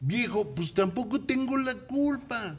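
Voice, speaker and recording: Here a man is speaking. His voice is somewhat breathy. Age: 60s. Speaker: commentator. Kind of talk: talk show discussion.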